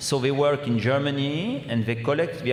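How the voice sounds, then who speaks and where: A man speaks with a French accent at a medium pitch. Room echo is audible, and background noise is noticeable. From France. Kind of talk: Q&A answers at a public symposium. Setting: gym with audience and microphones.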